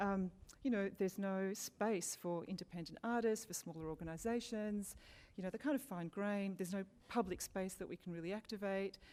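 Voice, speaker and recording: With an Australian accent, a woman talks at a fairly quick pace in a dark, mellow tone with ordinary pitch variation. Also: medium pitch for a woman. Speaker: local council arts program manager. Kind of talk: panel presentation. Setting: public forum with audience. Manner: fast.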